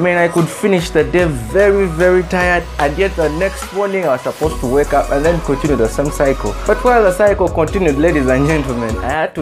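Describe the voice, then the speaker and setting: Over clear music in the background, a man speaks at a fairly quick pace. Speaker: motivational speaker. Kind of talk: motivational speech. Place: home room. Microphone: lapel.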